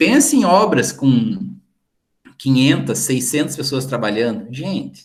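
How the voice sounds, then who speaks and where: Lively intonation from a fairly high-pitched man at a moderate pace. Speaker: teacher. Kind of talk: lecture. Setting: video call. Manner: animated.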